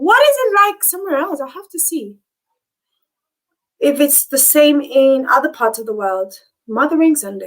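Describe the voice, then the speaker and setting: Speaking at a moderate pace, a woman with a high voice makes very wide pitch swings and big swings in loudness, leaving long, frequent pauses. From Namibia. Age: 30s. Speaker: YouTuber. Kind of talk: live stream chat. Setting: live stream. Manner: animated.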